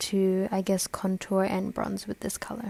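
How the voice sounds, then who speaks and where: A woman speaks quietly. Her pitch sits in the medium range. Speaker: beauty vlogger. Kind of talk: makeup tutorial voiceover. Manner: quiet, low-energy.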